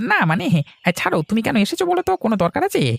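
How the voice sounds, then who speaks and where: Using a cartoonish character voice, a man talks at a fairly quick pace with a high pitch and very wide pitch swings, the sound dry and close with no echo. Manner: flustered, evasive.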